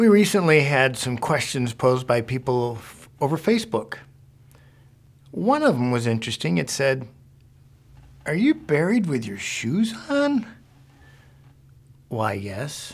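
A somewhat breathy man speaks at a fairly slow pace with very wide pitch swings and long, frequent pauses. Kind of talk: informational talk to camera. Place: office.

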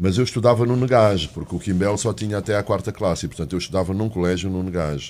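Very fast delivery with hardly any pauses and ordinary pitch variation. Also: man, fairly low pitch for a man. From Angola (Uíge) and Portugal; Angola. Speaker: economics journalist. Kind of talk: panel interview. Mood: reflective storytelling. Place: studio. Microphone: studio mic.

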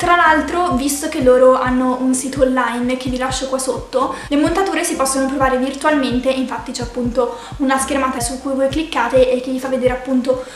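A woman's high-pitched voice at a fairly quick pace, with fairly even intonation, hardly any pauses, audible room echo and light background noise. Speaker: vlogger. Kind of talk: casual vlog chat, sponsored product review. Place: home room.

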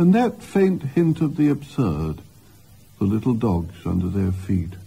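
A man speaks at medium pitch, somewhat breathy. His pitch swings very widely. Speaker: poet. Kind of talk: poetry reading. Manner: straightforward, natural; characteristic rise and fall intonation.

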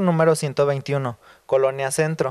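Fairly even in intonation, a man with an ordinary speaking voice talks at a fairly high pitch. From Guadalajara, Mexico. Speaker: hair stylist. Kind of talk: studio TV chat.

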